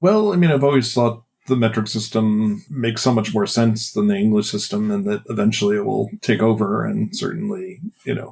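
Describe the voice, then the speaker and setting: In a normal speaking voice with an American accent, the speaker talks at a fairly quick pace with ordinary pitch variation. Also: man, fairly low pitch for a man. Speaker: game designer. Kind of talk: interview.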